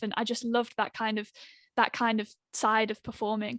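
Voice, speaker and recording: With a West Midlands accent, a woman of fairly high pitch speaks fairly quickly in a monotone, flat way. The sound is dry and close with no echo, over a quiet background. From West Midlands, England. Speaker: singer-songwriter. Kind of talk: radio interview.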